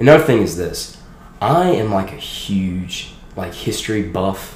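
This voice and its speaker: A man with an American accent at a fairly slow pace, lively intonation, audible room echo and noticeable background noise. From Louisiana. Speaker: college student. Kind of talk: testimony.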